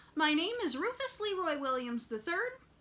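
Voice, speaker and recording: A woman does a put-on character voice, squeaky and extremely high-pitched, with very wide pitch swings. She keeps a moderate pace. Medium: read story. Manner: earnest, eager.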